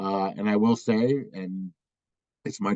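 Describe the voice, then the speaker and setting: Recorded dry and close with no echo over a quiet background, a man speaks at a fairly low pitch with fairly even intonation. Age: 60s. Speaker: law school dean. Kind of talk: virtual town hall Q&A. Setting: video call. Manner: halting, many fillers.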